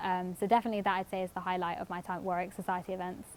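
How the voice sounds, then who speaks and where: A woman with a London accent talking very fast, on a very clean recording with a silent background. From North London, England. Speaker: university student. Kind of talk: casual testimony. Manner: hesitant with frequent fillers.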